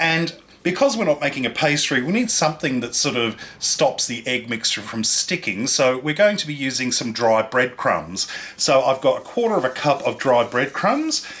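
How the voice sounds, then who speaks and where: With an Australian accent, a man speaks at a moderate pace and a fairly high pitch. His intonation is lively, and noticeable background noise is present. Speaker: cooking show host. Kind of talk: cooking tutorial. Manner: animated.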